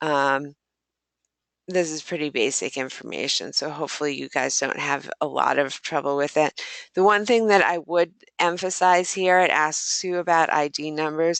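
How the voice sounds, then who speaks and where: A woman speaks at a moderate pace with a very deep, low pitch and ordinary pitch variation. The background is quiet. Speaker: pre-health advisor. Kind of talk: workshop presentation.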